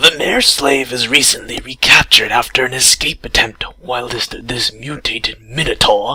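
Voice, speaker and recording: The put-on character voice runs at a moderate pace with hardly any pauses. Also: man, medium pitch for a man. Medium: read story. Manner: contemptuous.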